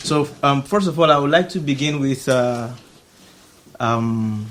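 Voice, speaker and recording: Against noticeable background noise, a man with a fairly high pitch speaks very slowly with ordinary pitch variation. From Nigeria. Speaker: artist. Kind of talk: public talk. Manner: halting.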